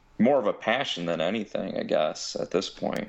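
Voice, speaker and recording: At a moderate pace, a man talks in a Midwestern American accent. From Ohio. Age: 30s. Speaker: pipe maker. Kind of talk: casual interview. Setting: phone call.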